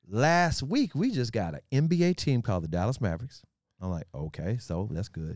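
At a moderate pace, a man with an American accent talks with very wide pitch swings. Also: medium pitch for a man, very clean recording, silent background. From US South, Memphis. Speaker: sports radio host. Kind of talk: casual interview chat with storytelling.

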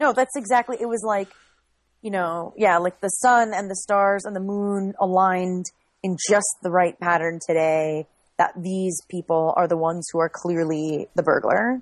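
This woman has an unremarkable speaking voice at medium pitch, with ordinary pitch variation and a moderate pace, recorded with a dry, close sound and no echo. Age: 30s. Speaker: former reality show contestant. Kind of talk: casual chat.

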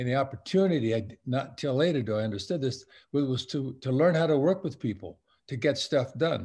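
A man's somewhat breathy, medium-pitched voice with an American accent, at a fairly quick pace against a quiet background. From Southern California, Long Beach. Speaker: retired-age sportswear company veteran, alumni speaker. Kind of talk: interview. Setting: virtual event.

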